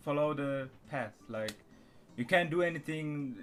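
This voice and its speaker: Speaking at a fairly slow pace, a man with a non-native accent keeps his intonation fairly even. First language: not English. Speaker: channel owner chatting with strangers online. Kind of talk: casual chat. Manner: halting.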